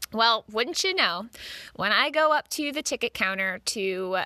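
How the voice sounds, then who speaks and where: With an American accent, a woman speaks in a bright, sharp tone on a very clean recording with a silent background and a dry, close sound with no echo. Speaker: podcast host. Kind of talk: casual interview.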